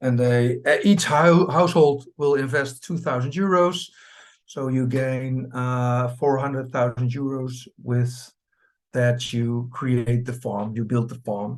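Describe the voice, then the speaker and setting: Speech comes at a very slow pace with a Dutch accent. Pitch variation is ordinary. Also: man, medium pitch for a man. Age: 50s. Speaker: cooperative farm chairman. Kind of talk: presentation. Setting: video call. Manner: halting.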